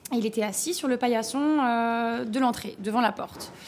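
A woman with a normal speaking voice speaks at a fairly high pitch with ordinary pitch variation. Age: 30s. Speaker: restaurant owner. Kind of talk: interview.

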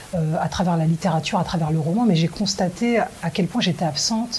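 A woman at medium pitch and a moderate pace, with ordinary pitch variation and noticeable background noise. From France. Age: 40s. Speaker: film director. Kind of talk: interview. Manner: halting.

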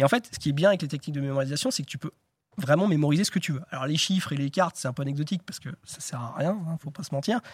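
A man talks very fast in a somewhat breathy, fairly high voice with ordinary pitch variation. The recording is very clean and silent behind him, with a dry, close sound and no echo. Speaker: memory champion. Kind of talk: interview. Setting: studio.

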